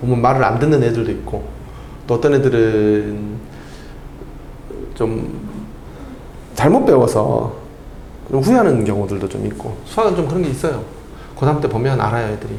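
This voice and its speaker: A man with a medium pitch speaks with lively intonation and long, frequent pauses. Audible room echo and noticeable background noise fill the recording. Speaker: math tutor. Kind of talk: lecture. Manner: fast.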